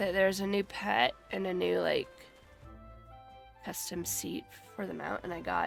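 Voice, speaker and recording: A woman talks at a moderate pace with long, frequent pauses. Music plays in the background. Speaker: gamer streamer. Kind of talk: casual live-stream talk while gaming.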